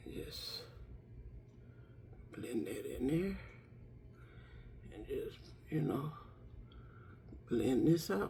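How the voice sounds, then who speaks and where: A woman speaks at a very slow pace with long, frequent pauses and big swings in loudness. Audible room echo surrounds her voice. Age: 60s. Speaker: lifestyle vlogger. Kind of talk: casual makeup tutorial. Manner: chatty, conversational.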